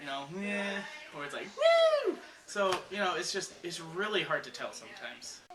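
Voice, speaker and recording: A man's high voice with ordinary pitch variation, audible room echo and noticeable background noise. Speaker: comedy video maker. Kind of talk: comedic behind-the-scenes banter. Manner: halting with many fillers.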